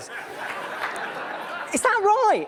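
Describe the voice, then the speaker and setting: A squeaky, extremely high-pitched put-on character voice rings out with audible echo and crowd noise in the background. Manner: sarcastic.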